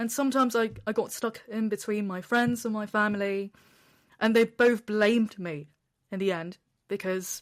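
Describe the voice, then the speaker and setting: Here a woman speaks with a British accent at a fairly high pitch. Her pace is moderate and her intonation fairly even. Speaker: travel content creator sharing depression story. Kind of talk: interview testimony. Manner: loud.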